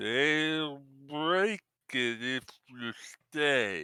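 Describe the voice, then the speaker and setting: The man uses a put-on character voice. It lands at a medium pitch. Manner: halting, struggling to form words.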